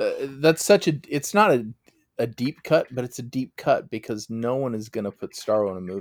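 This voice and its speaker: A man with an unremarkable speaking voice talks with lively intonation, recorded very cleanly against a silent background with a dry, close sound and no echo. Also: medium pitch for a man, moderate pace. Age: 40s. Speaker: sports podcast co-host. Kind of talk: casual chat.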